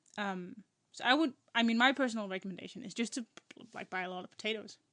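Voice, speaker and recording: With a non-native accent, a woman speaks in a fairly high, bright, sharp voice with ordinary pitch variation and a dry, close sound with no echo. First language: not English. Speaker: podcast co-host. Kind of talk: casual chat. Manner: halting.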